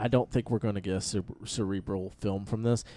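Ordinary pitch variation and a moderate pace in an ordinary speaking voice. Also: man. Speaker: podcast host and recording studio owner. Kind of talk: casual banter. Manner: joking, laughing.

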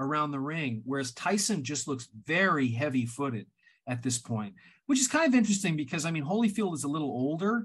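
Over a quiet background, a man with a fairly high, somewhat breathy voice speaks at a moderate pace with lively intonation. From Canada. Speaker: writer and filmmaker. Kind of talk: casual chat.

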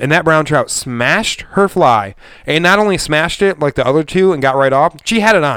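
An American accent marks this man's unremarkable speaking voice, pitched fairly high. He talks at a fairly quick pace with lively intonation. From Michigan. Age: 30s. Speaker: podcast host. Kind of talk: casual chat. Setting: studio.

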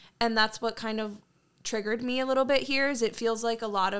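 A woman talks fairly quickly in a normal speaking voice, at a fairly high pitch with fairly even intonation. The recording is very clean with a silent background. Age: 20s. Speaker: podcast co-host. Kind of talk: casual chat.

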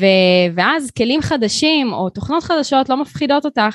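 Recorded with a dry, close sound with no echo, a woman talks at a moderate pace while her pitch takes very wide swings. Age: 30s. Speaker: graphic designer and studio owner. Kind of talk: interview.

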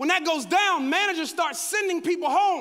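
Raised and projected, a man's animated voice reaches an extremely high pitch amid audible room echo. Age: 40s. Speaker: guest pastor. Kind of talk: sermon. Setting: stage with audience.

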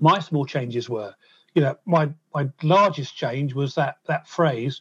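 Over a quiet background, a man with a fairly high, somewhat breathy voice speaks very slowly with ordinary pitch variation, the sound dry and close with no echo. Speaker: musician and percussionist. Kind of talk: interview, telling his life story. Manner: repeats words, occasional stammer-like hesitations.

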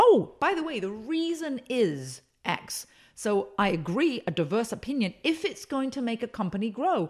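In a very clean recording with a silent background, a woman with an American accent sounds energetic, her fairly high pitch moving in very wide swings. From England. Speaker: speaker and consultant. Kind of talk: interview.

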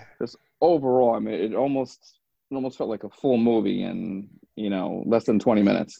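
Using a plain, everyday voice, a man with an American accent speaks at a medium pitch and a fairly quick pace with ordinary pitch variation. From New York. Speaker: podcast host. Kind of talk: casual chat.

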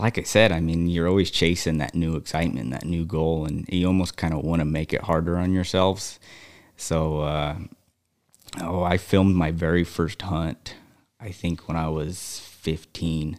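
In a very deep, low voice, a man speaks at a fairly slow pace with fairly even intonation. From central Wyoming. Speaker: hunting guide and rancher. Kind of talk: casual chat. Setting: studio.

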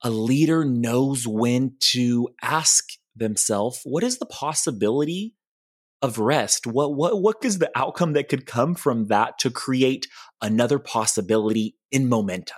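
Recorded very cleanly against a silent background with a dry, close sound and no echo, a man speaks at a fairly slow pace in a medium pitch with ordinary pitch variation. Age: 20s. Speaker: goal coach and podcast creator. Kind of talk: podcast interview, conversational. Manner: upbeat, optimistic.

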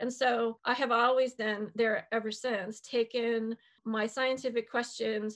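A woman's plain, everyday voice, fairly high in pitch, with an American accent, at a fairly slow pace against a quiet background. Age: 60s. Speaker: biologist and author. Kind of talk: interview.

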